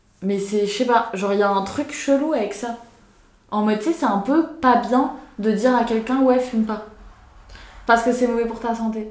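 At a moderate pace with long, frequent pauses, a woman speaks at a fairly high pitch with ordinary pitch variation, and room echo is audible. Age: 20s. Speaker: podcast host. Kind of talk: casual chat.

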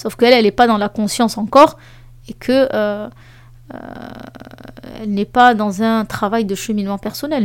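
Speaking at a moderate pace, a woman uses a fairly high pitch. Her pitch varies in an ordinary way. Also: very clean recording, silent background. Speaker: life coach and podcast host. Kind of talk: solo podcast monologue with advice. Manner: lively and spontaneous.

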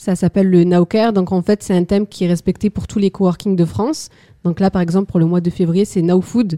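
A woman speaks at a fairly quick pace in a dark, mellow tone. Her medium pitch stays fairly even in a very clean recording with a silent background. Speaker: community builder, work-study student.

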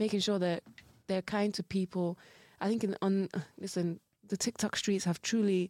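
A woman with a British accent and medium pitch speaks at a moderate pace in a dark, mellow tone with monotone, flat intonation, on a very clean recording with a silent background. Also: very even loudness, dry, close sound with no echo. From UK. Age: 20s. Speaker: podcast guest. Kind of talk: casual chat.

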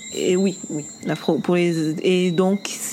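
Noticeable noise sits behind this woman's voice. Her pitch rises and falls in an ordinary way. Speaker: podcast co-host. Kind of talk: casual chat. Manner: halting.

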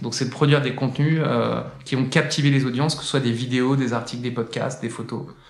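A man's voice at medium pitch and a fairly quick pace, in a monotone, flat intonation, with audible room echo and noticeable background noise. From France, Saint-Étienne. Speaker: singer and content entrepreneur. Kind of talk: casual interview. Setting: indoor room at his workplace.

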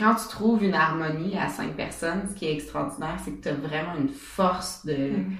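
A woman speaks at a fairly low pitch with lively intonation and big swings in loudness, over noticeable background noise with audible room echo. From Quebec, Bas-Saint-Laurent. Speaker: entrepreneur, event organizer. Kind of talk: interview. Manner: halting, many fillers.

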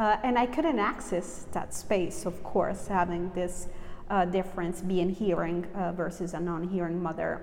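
A woman with an American accent speaks at a fairly slow pace and medium pitch, her intonation fairly even, over noticeable background noise. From Southern Italy (early childhood in New York). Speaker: writer. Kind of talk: interview. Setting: festival event.

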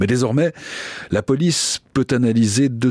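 A man's dramatic delivery at a fairly slow pace, dry and close with no echo. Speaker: podcast host and narrator. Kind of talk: true-crime narration, scripted and read aloud in a grave, measured way. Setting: studio. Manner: measured, solemn, storytelling pace; dramatic, with suspense and vivid detail.

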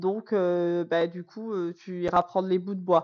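A woman's medium-pitched voice unfolds very slowly. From France, Corrèze. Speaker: teacher. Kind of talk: podcast interview. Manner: hesitant, many fillers.

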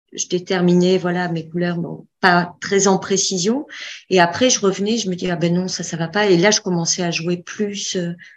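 A woman speaks in a plain, everyday voice at a medium pitch and a moderate pace. Her intonation stays fairly even, and the background is quiet. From Bordeaux, south-west France. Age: 40s. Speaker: student of an interior design course. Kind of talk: casual chat.

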